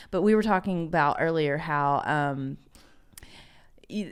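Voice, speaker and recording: A woman with an American accent speaks at a fairly low pitch, her pitch varying in an ordinary way. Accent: Southern US, comes out sometimes. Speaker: podcast co-host. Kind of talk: casual chat.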